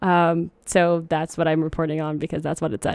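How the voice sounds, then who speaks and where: Over a quiet background, a woman with a normal speaking voice and a fairly low pitch speaks at a fairly quick pace. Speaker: podcast host. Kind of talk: casual chat. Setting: live stream.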